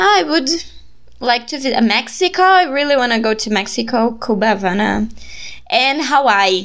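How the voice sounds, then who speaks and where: A woman with a Brazilian accent talks at a moderate pace. Her intonation is lively, and there is vocal fry in her voice. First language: Portuguese. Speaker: podcast host and student volunteer. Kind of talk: casual chat.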